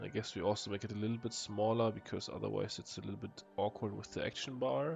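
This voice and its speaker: A man's fairly low voice at a very fast pace, with ordinary pitch variation and music in the background. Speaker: gaming YouTuber. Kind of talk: casual gameplay commentary. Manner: hesitant, many fillers.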